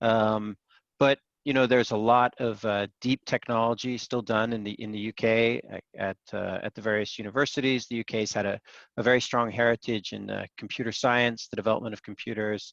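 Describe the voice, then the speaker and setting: A man with an American accent talks at a fairly quick pace in a medium pitch, his intonation flat and monotone, and the sound is dry and close with no echo. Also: quiet background. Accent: American accent despite UK birth. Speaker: investor and startup panel judge. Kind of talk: panel discussion. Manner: hesitant, many filler words.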